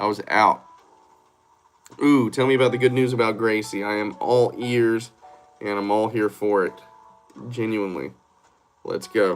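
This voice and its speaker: With a Southern US accent, a man talks in fairly even intonation, leaving long, frequent pauses while music plays in the background. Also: medium pitch for a man, moderate pace. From Georgia, US South. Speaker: live streamer. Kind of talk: casual live stream chat.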